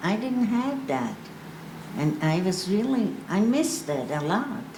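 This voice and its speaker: Amid audible room echo and noticeable background noise, a woman speaks at a fairly slow pace with very wide pitch swings. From Austria, Vienna. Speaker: Holocaust survivor panelist. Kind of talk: panel testimony. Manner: halting.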